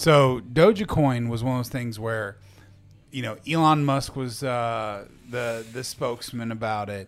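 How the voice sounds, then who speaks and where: A man with an unremarkable speaking voice talks fairly slowly at medium pitch, his intonation fairly even. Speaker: podcast host. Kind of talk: casual chat. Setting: studio.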